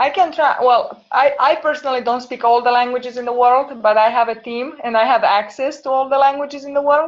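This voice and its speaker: A woman with a high-pitched voice and a Romanian accent speaks with hardly any pauses and ordinary pitch variation. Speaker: translator and entrepreneur. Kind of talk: interview. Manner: hesitant, many fillers.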